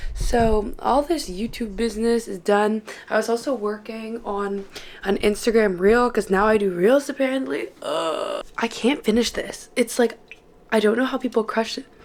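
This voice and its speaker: A woman at a moderate pace, with ordinary pitch variation and noticeable background noise. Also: fairly high pitch for a woman. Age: 20s. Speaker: medical student and vlogger. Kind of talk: casual vlog talk to camera. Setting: filming alone at home at night. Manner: animated.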